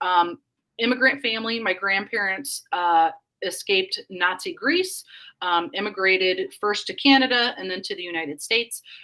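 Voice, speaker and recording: A woman's medium-pitched voice with a Northern Indiana accent, bright and sharp in tone, at a moderate pace, with ordinary pitch variation and big swings in loudness. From Northern Indiana (Elkhart, South Bend area). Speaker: liberty movement activist and organization leader. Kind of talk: podcast interview. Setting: live-streamed podcast.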